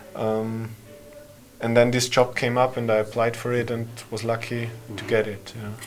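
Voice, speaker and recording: Music plays in the background as a man speaks in a monotone, flat intonation. His loudness swings widely. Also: medium pitch for a man, moderate pace. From Austria. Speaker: development worker and event organiser. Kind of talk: casual interview conversation.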